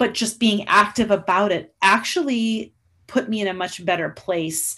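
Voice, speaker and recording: Here a woman with a western Canadian accent and a fairly high pitch talks at a fairly slow pace. Her voice is somewhat breathy, with lively intonation. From Canada, Alberta (Lloydminster). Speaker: saxophone professor. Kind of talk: interview.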